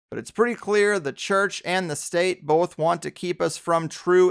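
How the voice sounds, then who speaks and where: An ordinary speaking voice at a moderate pace with fairly even intonation, dry and close with no echo, on a very clean recording with a silent background. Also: man. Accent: American. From US, San Diego. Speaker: podcast host. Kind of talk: interview conversation.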